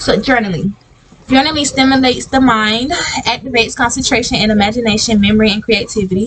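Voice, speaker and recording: With noticeable background noise around her, a woman's fairly high voice rises and falls in an ordinary way. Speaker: podcast host. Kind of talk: reading slides aloud in a self-help podcast. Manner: fast reading, stumbling; tongue-tied, restarting lines.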